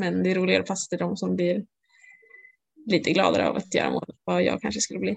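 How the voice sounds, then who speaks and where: Talking very fast, a woman breaks her speech with long, frequent pauses. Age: 20s. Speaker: floorball player. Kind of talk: interview.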